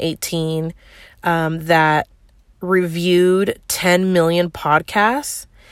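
A woman's relaxed, fairly low voice in a Northern California accent, monotone and flat in intonation, on a very clean recording with a silent background. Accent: Northern California American. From San Francisco Bay Area. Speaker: marketing podcast host. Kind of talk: casual solo monologue. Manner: relaxed, conversational with fillers.

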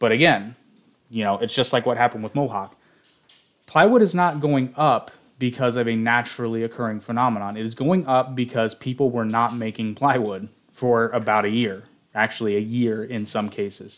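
This man has a plain, everyday voice. His pitch varies in an ordinary way. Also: medium pitch for a man, fairly quick pace. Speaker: podcast co-host. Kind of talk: solo monologue about economics, casual. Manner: informal, humorous, chatty.

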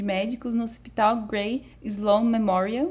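With a Brazilian accent, a woman speaks in a fairly high pitch. Her pace is moderate. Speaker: podcast co-host. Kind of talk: casual pop culture chat with news reading.

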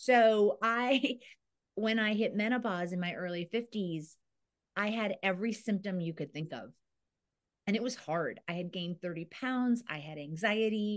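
An unremarkable speaking voice moves at a fairly slow pace with ordinary pitch variation over a quiet background. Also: woman, medium pitch for a woman. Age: 50s. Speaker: women's aging advocate and entrepreneur. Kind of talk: interview conversation.

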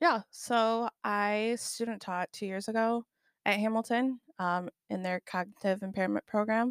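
Recorded very cleanly against a silent background with a dry, close sound and no echo, an unremarkable speaking voice with an American accent moves at a fairly slow pace with fairly even intonation. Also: woman, fairly high pitch for a woman. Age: 20s. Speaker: high school teacher. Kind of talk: casual interview.

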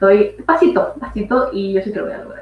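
A woman speaks with music in the background. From Ecuador. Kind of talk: casual conversation about personal experience. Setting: live stream.

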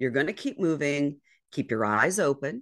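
A woman speaks at a fairly slow pace with an American accent and vocal fry. The background is quiet. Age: 50s. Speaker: communication strategist and endurance kayaker. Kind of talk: casual chat.

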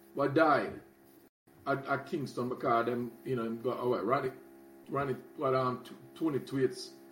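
A man speaks with fairly even intonation. There is noticeable background noise. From Jamaica. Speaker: guest, former community resident. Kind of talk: casual conversation, interview.

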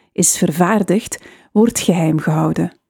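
Recorded dry and close with no echo, a woman speaks at a moderate pace in a dark, mellow, medium-pitched voice with ordinary pitch variation. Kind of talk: 1920s newsreel-style news reading. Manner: formal; measured, steady newsreader delivery.

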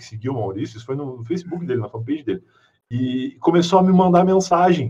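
A man speaks with a fairly high pitch and lively intonation. His voice is somewhat breathy. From southern Rio Grande do Sul, Brazil. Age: 30s. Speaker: podcaster. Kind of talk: casual chat.

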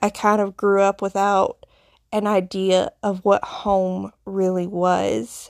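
A woman with a Southern US accent speaks very slowly at a medium pitch, in a flat monotone. The sound is dry and close with no echo, on a very clean recording with a silent background. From Appalachian foothills, US South. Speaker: podcast host, nurse, witch. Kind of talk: solo podcast monologue, personal storytelling. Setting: solo recording. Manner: conversational, reflective, with fillers.

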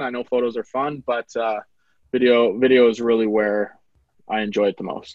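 A man speaks at a moderate pace with an Upper Midwest accent. His pitch sits in the middle range. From North Dakota. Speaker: videographer and business owner. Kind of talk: casual interview.

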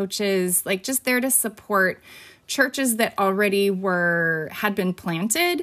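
In a Californian accent, a woman talks at a fairly slow pace and fairly high pitch with lively intonation, on a very clean recording with a silent background. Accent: Californian American. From California (Fresno). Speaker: teacher and podcast host. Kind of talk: casual interview.

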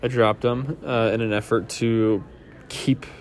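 Music plays in the background as a man talks. His pitch is fairly low, with ordinary variation. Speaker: fantasy football podcast host. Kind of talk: solo casual podcast monologue. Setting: airport terminal during layover. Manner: casual with many fillers.

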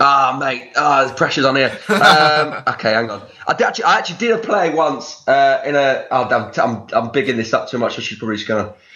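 With an English accent and a fairly high pitch, a man talks at a fairly quick pace with lively intonation and hardly any pauses, amid audible room echo and noticeable background noise. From England, not the Northeast. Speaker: actor. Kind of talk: casual chat. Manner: hesitant, many fillers.

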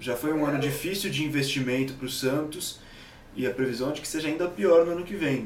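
There is noticeable background noise behind this recording. A man's voice comes through with audible room echo. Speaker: football commentator. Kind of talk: casual chat.

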